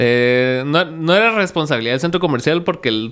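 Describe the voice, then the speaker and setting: Here a man speaks at a fairly high pitch. His intonation is lively and his pace moderate. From Guatemala. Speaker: podcast host. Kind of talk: casual chat; interview answer. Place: studio. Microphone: studio mic.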